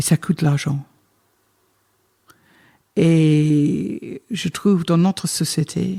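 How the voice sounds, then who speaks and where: A woman with a British accent speaks at a very deep, low pitch in a dark, mellow, somewhat breathy tone. Her pitch varies in an ordinary way, and the sound is dry and close with no echo. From Britain. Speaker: wine estate manager. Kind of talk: interview answer. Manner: talkative, lively, cheerful.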